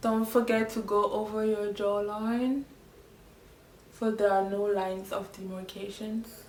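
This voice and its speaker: With a French accent, a woman speaks at a fairly slow pace in a fairly high voice while noticeable background noise carries underneath. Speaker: makeup tutorial creator. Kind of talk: tutorial. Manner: animated.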